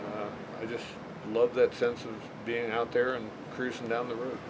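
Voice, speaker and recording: A medium-pitched man's voice at a moderate pace over noticeable background noise. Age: 60s. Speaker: motorcycle rider. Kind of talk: casual interview.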